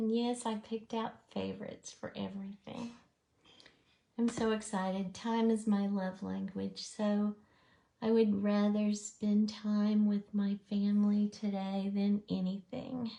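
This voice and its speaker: A woman speaks at a fairly slow pace, her medium-pitched voice somewhat breathy with a dark, mellow tone. Her intonation is monotone and flat. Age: 60s. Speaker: makeup artist. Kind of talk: tutorial. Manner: soft-spoken.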